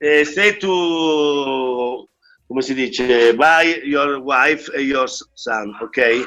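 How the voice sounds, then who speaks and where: Speaking at a very slow pace with an Italian accent, a man uses a bright, sharp tone, fairly high pitch, and ordinary pitch variation. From Italy. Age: 50s. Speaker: martial arts master. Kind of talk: interview. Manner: halting.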